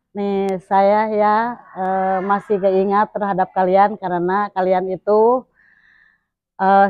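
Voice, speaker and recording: Speaking at a very slow pace, a woman with a medium pitch is heard in a dry sound with no echo against a quiet background. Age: 60s. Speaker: schoolteacher. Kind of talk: interview answers and message to former pupils. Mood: warm, encouraging. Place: street. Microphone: camera far.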